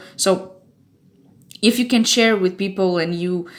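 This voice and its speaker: Speaking fairly slowly at a medium pitch, a woman talks with a Portuguese accent. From Portugal. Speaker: fan website staff member. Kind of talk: informational warning video. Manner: casual, with hesitations.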